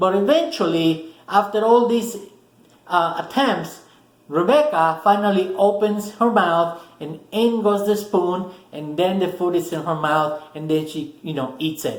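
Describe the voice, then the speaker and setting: A man with a high pitch and a Spanish accent, at a fairly slow pace with ordinary pitch variation and audible room echo. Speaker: motivational video host. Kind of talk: motivational talk to camera. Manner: casual, with many fillers and restarts.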